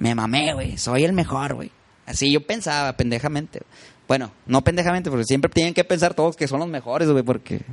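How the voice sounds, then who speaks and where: Talking at a fairly quick pace, a man with a fairly high pitch uses ordinary pitch variation in an unremarkable speaking voice. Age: 30s. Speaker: musician. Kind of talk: casual chat.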